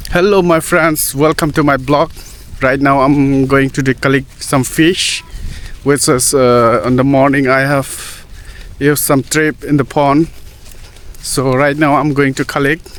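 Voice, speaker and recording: A man with a fairly high pitch talks at a fairly slow pace, his intonation fairly even and his loudness very even. Noticeable background noise runs underneath. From Northeast India. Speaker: vlogger. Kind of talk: casual vlog narration. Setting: outdoors by a pond. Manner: halting.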